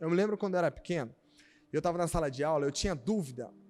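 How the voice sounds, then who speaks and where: A man's voice with music in the background. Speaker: pastor. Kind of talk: sermon. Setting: church service streamed online. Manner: fast.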